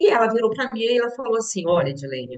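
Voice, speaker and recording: With vocal fry, a woman talks at a fairly high pitch. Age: 60s. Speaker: businesswoman and teacher sharing health story. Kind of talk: testimony.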